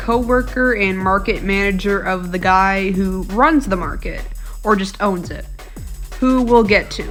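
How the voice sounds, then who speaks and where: Over music in the background, a woman speaks at a fairly slow pace in a medium pitch with ordinary pitch variation. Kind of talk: commentary video narration. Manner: casual.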